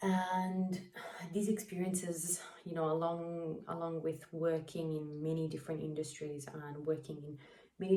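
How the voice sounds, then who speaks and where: A woman speaks in an Italian accent, her pitch very deep and low and her intonation monotone and flat. Noticeable background noise and audible room echo surround her voice. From Italy, then Perth, Australia. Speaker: mental health vlogger. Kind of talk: casual vlog monologue. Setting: getting makeup done while talking. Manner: chatty, many fillers.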